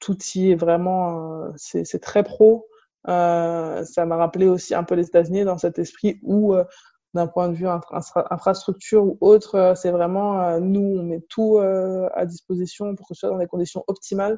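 Against a quiet background, a woman speaks at a medium pitch in a dark, mellow tone. Her intonation is monotone and flat, her pace very slow. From Paris suburbs, Seine-Saint-Denis. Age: 20s. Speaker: professional basketball player. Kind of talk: interview. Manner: halting.

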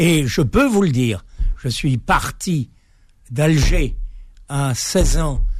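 The delivery is very slow and somewhat breathy, with lively intonation. Long, frequent pauses break it up. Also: man, fairly high pitch for a man. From Algeria (Algiers, pied-noir). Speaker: author and builder. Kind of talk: radio interview. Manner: halting.

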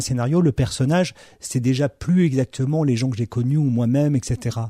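A man's dark, mellow, somewhat breathy voice at a moderate pace with ordinary pitch variation. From Morocco, Algeria and Madagascar (French military family). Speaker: film director. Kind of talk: interview. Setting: distributor's office. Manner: halting, many repetitions.

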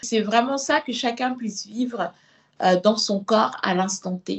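A woman talks very slowly, her voice somewhat breathy. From Senegal. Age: 30s. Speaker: body positive activist and author. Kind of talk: interview testimony. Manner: hesitant with fillers.

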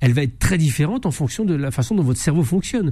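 Speaking at a very fast pace, a man has a dark, mellow tone. His delivery is somewhat breathy, with lively intonation. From France. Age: 50s. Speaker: investigative journalist and author. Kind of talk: radio interview.

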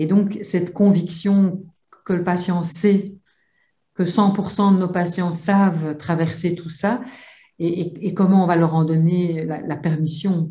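Very slow and somewhat breathy, a woman speaks with fairly low pitch and a dark, mellow tone. Her intonation is fairly even, and room echo is audible. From Belgium. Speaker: psychologist and psychotherapist. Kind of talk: webinar discussion.

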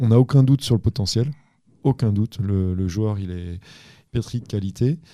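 Calm in tone, a man talks at a moderate pace with fairly low pitch, ordinary pitch variation, and a dark, mellow tone. The sound is dry and close with no echo, and the recording is very clean with a silent background. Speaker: assistant basketball coach. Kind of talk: casual interview.

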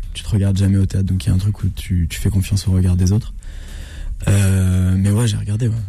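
Over noticeable background noise, a man with a very deep, low voice speaks very fast in a monotone, flat intonation. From Normandy, France (Rouen). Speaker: actor and comedian. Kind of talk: radio interview. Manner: calm, measured.

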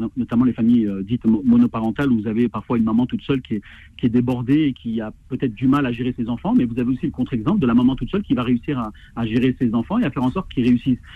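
This man talks very fast at medium pitch, and his pitch varies in an ordinary way. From French suburbs. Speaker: association president. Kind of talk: phone interview.

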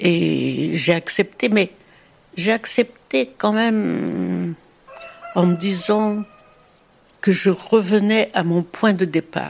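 The speech moves at a very slow pace, broken by long, frequent pauses, with ordinary pitch variation. Noticeable background noise runs underneath. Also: woman, medium pitch for a woman. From Brittany, Morbihan. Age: 90s. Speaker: grandmother telling her life story. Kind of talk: testimony. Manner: halting.

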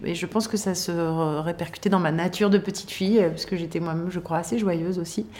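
A woman talks at a medium pitch. The pitch variation is ordinary. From southern France, Toulon. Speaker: TV screenwriter and showrunner. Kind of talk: interview. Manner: halting, many fillers.

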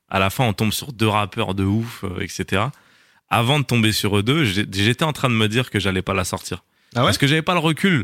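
A man with a normal speaking voice and lively intonation talks at a moderate pace in a very clean recording with a silent background, dry and close with no echo. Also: fairly low pitch for a man. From France, North African family. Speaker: screenwriter, actor and content creator. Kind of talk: casual interview.

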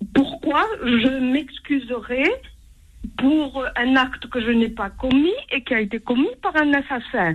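A woman with a high pitch and lively intonation, at a very slow pace. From France. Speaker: caller. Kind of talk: call-in. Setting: phone call.

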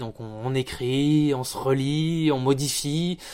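The recording is very clean, with a silent background. A man talks in a normal speaking voice at a fairly high pitch, with ordinary pitch variation. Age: 30s. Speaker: audio production staff at a newspaper. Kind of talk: interview.

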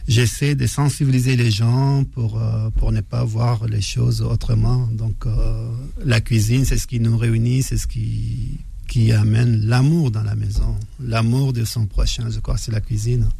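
A man at a very slow pace, amid noticeable background noise and audible room echo. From northern Chad, Faya. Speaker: pastry chef. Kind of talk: radio interview. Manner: halting.

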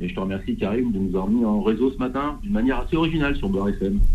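Audible room echo accompanies a man speaking at a fairly quick pace. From northern France. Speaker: retired police commander. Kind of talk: testimony.

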